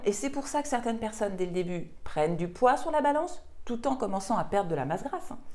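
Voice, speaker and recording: A woman speaks at a fairly high pitch with very wide pitch swings. Her tone is dark and mellow. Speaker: nutrition and weight-loss coach. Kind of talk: online course explainer video.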